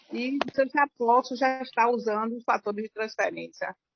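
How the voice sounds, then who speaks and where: At a moderate pace, a woman talks in a normal speaking voice with a fairly high pitch and ordinary pitch variation. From Bahia, Brazil. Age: 60s. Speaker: workshop participant asking a question. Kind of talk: question to the expert.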